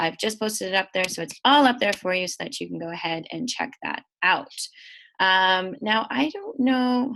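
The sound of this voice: A woman talks at a moderate pace and medium pitch, her intonation lively. Her tone is fairly bright and nasal, with vocal fry.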